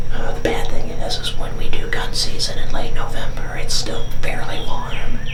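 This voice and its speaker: Whispering at a moderate pace with hardly any pauses, a man is heard amid noticeable background noise and audible room echo. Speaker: hunting channel host. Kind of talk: casual vlog walkthrough. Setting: inside a hunting blind with echo. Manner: whispering at times. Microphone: echo in the blind.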